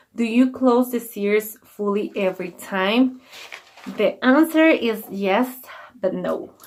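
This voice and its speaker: Very slow speech from a woman at a fairly high pitch, with ordinary pitch variation and noticeable background noise. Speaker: beauty vlogger. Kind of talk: tutorial. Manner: halting.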